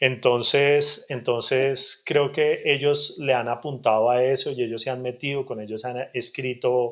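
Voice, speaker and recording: A man's voice, medium in pitch, comes at a fairly slow pace. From Colombia, Bogotá. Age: 40s. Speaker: novelist. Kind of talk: interview. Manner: hesitant, repeats words.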